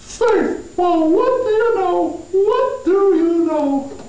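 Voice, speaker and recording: A female-sounding, cartoonish character voice speaks at an extremely high pitch and a very slow pace. Light background noise and a slight echo sit behind it. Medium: puppet. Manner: sarcastic, complaining.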